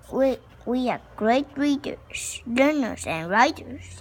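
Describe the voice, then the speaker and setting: Using a put-on character voice, a woman speaks at a high pitch and a very slow pace. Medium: read story. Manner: earnest, formal.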